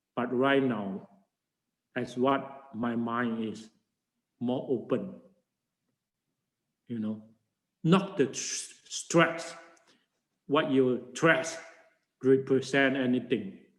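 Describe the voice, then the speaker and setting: Room echo is audible as a man talks at a medium pitch and a very slow pace. He leaves long, frequent pauses, and his pitch varies in an ordinary way. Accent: Chinese. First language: Chinese. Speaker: Buddhist monk and teacher. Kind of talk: lecture. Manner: halting.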